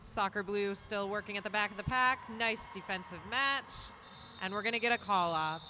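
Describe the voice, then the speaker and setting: In a Minnesotan accent, a woman with a bright, sharp tone and medium pitch talks at a moderate pace with ordinary pitch variation. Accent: Minnesota. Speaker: roller derby commentator. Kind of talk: live commentary.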